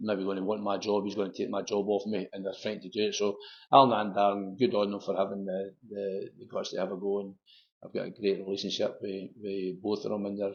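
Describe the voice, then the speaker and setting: A man speaks fairly quickly in a Lanarkshire accent. His intonation is monotone and flat. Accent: Scottish (Lanarkshire). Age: 60s. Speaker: football manager. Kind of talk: interview.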